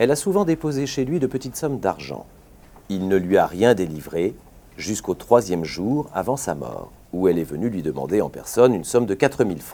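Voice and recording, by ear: At a moderate pace, a man speaks with a dark, mellow tone, low pitch and big pitch swings.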